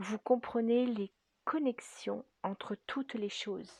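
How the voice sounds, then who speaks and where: A soft-spoken woman talks at a very slow pace with fairly even intonation, her fairly high voice somewhat breathy with a dark, mellow tone. The sound is dry and close, with no echo. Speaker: spiritual guidance artist and energy healer. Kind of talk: spiritual guidance reading. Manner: slow, hesitant with fillers.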